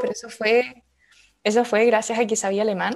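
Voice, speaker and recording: With a Chilean accent, a woman talks at a fairly quick pace and a fairly high pitch. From Chile, Valdivia. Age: 20s. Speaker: urban planner. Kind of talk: interview.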